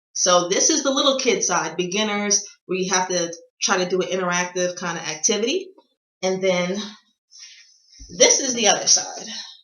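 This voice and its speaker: An energetic woman with an American accent speaks at a moderate pace, leaving long, frequent pauses, with audible room echo around her. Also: medium pitch for a woman, ordinary pitch variation. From United States. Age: 20s. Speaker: vlogger. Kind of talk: casual how-to vlog.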